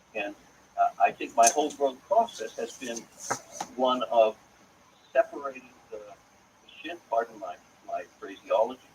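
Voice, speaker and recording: A man with an American accent speaks at a fairly slow pace with long, frequent pauses and big swings in loudness, over noticeable background noise. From US, Pittsburgh, Pennsylvania. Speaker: author and cantor. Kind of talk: interview. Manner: halting.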